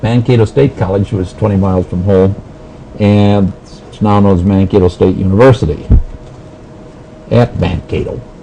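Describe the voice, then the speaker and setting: Speaking with an Upper Midwest accent, a man with a fairly low pitch keeps a moderate pace over noticeable background noise. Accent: Upper Midwest American. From southern Minnesota. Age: 60s. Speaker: health physicist. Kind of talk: oral history interview. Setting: recorded interview at annual meeting.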